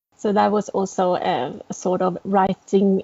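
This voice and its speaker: A woman with a Norwegian accent, her intonation monotone and flat. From Norway. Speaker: novelist. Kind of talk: interview.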